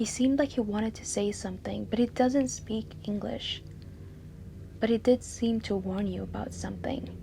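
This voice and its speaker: A woman with a non-native accent talks at a moderate pace, with big swings in loudness. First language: not English. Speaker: book vlogger. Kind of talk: storytelling; casual chat. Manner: animated.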